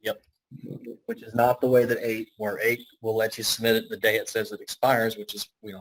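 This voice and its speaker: A man at a moderate pace, in a dry, close sound with no echo. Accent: strong Southern US. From Alabama. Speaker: IT consultant. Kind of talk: business video meeting.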